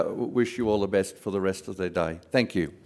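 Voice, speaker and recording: Here a man speaks with an Australian accent and ordinary pitch variation. The recording is very clean, with a silent background. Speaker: board chairman. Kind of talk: closing remarks. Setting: stage with audience.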